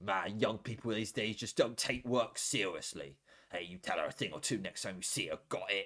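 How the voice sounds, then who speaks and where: A man puts on a character voice at a medium pitch. He talks at a moderate pace. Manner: scolding, complaining.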